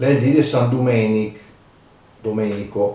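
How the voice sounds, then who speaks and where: A man talks at a very slow pace. His tone is dark and mellow, and somewhat breathy. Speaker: dialect and proverbs commentator. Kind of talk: casual educational talk. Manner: hesitant, many fillers.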